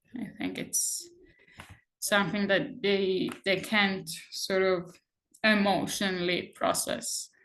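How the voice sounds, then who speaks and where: A woman of medium pitch speaks at a very slow pace, with long, frequent pauses and ordinary pitch variation. Room echo is audible. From Israel, Jerusalem. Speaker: activist, conscientious objector. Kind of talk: personal testimony in interview.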